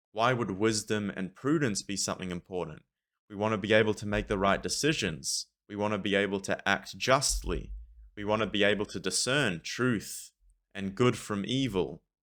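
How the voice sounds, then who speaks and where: A man talks at a moderate pace in a plain, everyday voice, fairly low in pitch with ordinary pitch variation. The recording is very clean, with a silent background. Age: 20s. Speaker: commentary video host. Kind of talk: monologue to camera. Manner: repeats words and restarts often.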